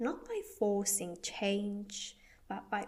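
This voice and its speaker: A woman speaks at a very slow pace in a medium pitch, somewhat breathy, with ordinary pitch variation. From Spain. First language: Spanish. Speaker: podcast host and wellbeing coach. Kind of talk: podcast monologue. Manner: deliberately slow, careful pronunciation.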